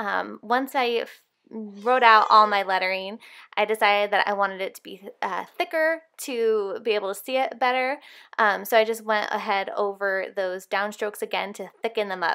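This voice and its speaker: A woman's fairly high, bright, sharp voice with ordinary pitch variation and big swings in loudness, on a very clean recording with a silent background. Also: moderate pace. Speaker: Bible journaling artist and tutorial creator. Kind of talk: tutorial. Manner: casual with frequent fillers.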